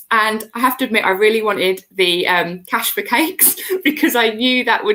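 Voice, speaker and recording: A woman speaks loudly in a British accent with a fairly high pitch. Her tone is bright and sharp, and her intonation lively. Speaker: cake maker, member of baking business community. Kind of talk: casual interview chat. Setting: live video stream. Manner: animated.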